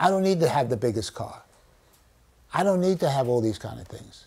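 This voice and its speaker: A man talks at a medium pitch and a fairly quick pace. His voice is somewhat breathy, with very wide pitch swings. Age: 80s+. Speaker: children's author and storyteller. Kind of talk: teaching children in a class discussion. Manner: animated.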